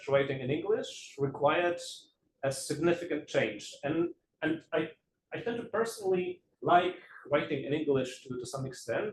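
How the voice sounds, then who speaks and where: A man with a Polish accent talks at a moderate pace. His intonation is lively. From Poland. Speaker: game studies researcher. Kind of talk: lecture. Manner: halting.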